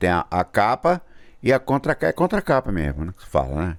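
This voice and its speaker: A man's moderate-paced speech with vocal fry and very wide pitch swings, in a very clean recording with a silent background. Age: 60s. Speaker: YouTuber, musician. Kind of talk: casual vlog talk. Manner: halting.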